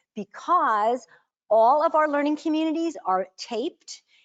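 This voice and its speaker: A woman speaks loudly with very wide pitch swings, the sound dry and close with no echo. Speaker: learning community facilitator. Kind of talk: workshop presentation. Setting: meeting room with audience, streamed online. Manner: animated.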